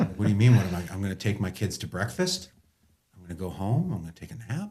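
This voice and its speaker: A very fast, animated man's voice, somewhat breathy, with very wide pitch swings. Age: 40s. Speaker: former pro football player. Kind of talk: casual chat.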